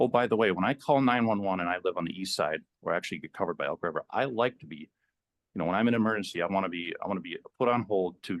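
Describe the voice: A man speaks at a fast pace with ordinary pitch variation.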